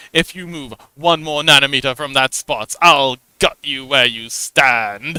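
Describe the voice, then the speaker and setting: A man puts on a character voice, pitched fairly high, speaking at a fairly slow pace with big swings in loudness. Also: ordinary pitch variation, dry, close sound with no echo. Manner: menacing.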